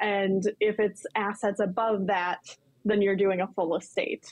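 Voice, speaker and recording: This woman has a normal speaking voice at a medium pitch, moving at a moderate pace with fairly even intonation. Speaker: lawyer. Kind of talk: casual chat. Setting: remote link.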